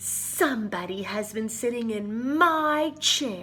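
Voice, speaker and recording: A put-on character voice, female-sounding and fairly high in pitch. It moves at a fairly slow pace. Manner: gruff, indignant.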